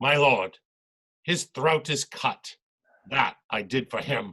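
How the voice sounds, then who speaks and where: Taking on a put-on character voice, a man delivers his lines fairly slowly and at a fairly high pitch. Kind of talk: amateur stage Shakespeare. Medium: stage play.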